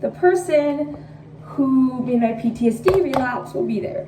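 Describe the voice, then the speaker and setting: A woman speaks at a fairly slow pace. Audible room echo and noticeable background noise surround her. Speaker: vlogger. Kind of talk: casual vlog. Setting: in a car. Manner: hesitant, many fillers.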